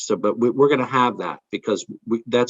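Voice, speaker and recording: A man speaks at a fairly quick pace. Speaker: college administrator. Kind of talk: online town hall presentation. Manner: fast; halting, many repetitions.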